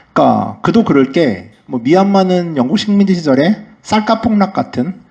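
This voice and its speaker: A man speaks with a high pitch. His voice makes very wide pitch swings. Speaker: travel writer giving a lecture. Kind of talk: lecture. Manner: fast.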